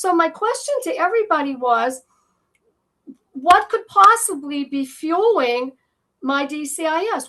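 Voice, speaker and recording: A woman projects a raised voice at an extremely high pitch, bright and sharp in tone, with very wide pitch swings. She moves at a fairly slow pace, leaving long, frequent pauses. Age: 60s. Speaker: patient sharing her story. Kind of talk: interview testimony. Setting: podcast interview. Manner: halting, with many fillers.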